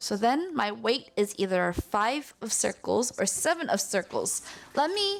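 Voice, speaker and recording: Over music in the background, someone talks at a fairly slow pace with lively intonation. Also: woman. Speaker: streamer teaching mahjong. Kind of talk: tutorial. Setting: live stream.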